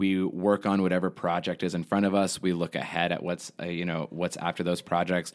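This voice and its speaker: Very deep and low, the man's voice carries an American accent and a flat, monotone intonation. He speaks at a fairly quick pace on a very clean recording with a silent background. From Texas (Houston). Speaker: theater artistic director, actor-musician. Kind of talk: casual interview.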